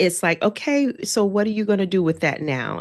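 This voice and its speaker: A woman at a medium pitch talks at a moderate pace with vocal fry. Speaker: podcast host. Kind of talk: casual podcast conversation.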